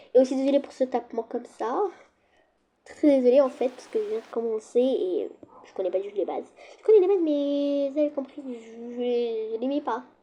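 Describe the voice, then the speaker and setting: Loud and high-pitched, a woman speaks with lively intonation and a dark, mellow tone. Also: moderate pace. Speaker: gaming youtuber. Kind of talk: gameplay commentary. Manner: casual, hesitant.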